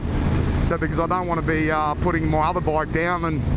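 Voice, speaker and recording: Loud background noise fills a dry recording with no echo. A man speaks very fast. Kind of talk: casual vlog chat. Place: motorbike.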